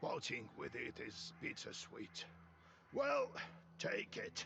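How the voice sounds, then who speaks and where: A raspy, put-on character voice drags along at a very slow pace over clear background noise. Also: man. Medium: video game. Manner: gruff, commanding.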